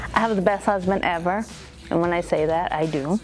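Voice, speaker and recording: A woman at a fairly quick pace, fairly low in pitch with ordinary pitch variation, music in the background. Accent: Spanish. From Mexico. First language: Spanish. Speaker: beauty salon owner. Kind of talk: interview.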